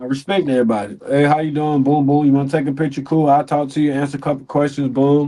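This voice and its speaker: A man with a dark, mellow tone and fairly high pitch talks at a very fast pace with hardly any pauses. His intonation stays fairly even over a quiet background. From US South, Pensacola, Florida. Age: 20s. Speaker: MMA fighter. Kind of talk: casual chat.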